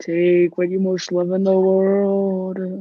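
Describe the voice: This put-on character voice sits at a middle pitch and moves at a very slow pace. The intonation is monotone and flat.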